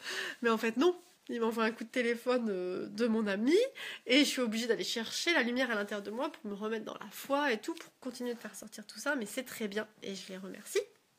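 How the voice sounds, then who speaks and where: A woman speaks at a fairly quick pace with a fairly high pitch. Her loudness swings widely while her pitch varies in an ordinary way. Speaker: yoga teacher. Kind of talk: casual vlog monologue. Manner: fast; animated.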